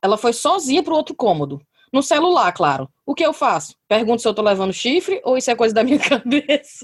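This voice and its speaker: A woman talks at a fairly quick pace with high pitch, very wide pitch swings, and very even loudness. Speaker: podcast host. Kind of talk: casual chat. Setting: video call.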